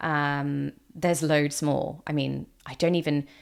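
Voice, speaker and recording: A woman with a British accent speaks with ordinary pitch variation on a very clean recording with a silent background. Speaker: mental health vlogger. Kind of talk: personal testimony. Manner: casual with fillers and restarts.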